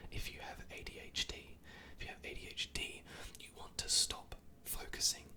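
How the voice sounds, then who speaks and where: The words come as a whisper at a fairly slow pace. Background noise is noticeable throughout. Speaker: ASMR content creator. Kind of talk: whispered ASMR rant to camera. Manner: whispered, close-mic, conversational.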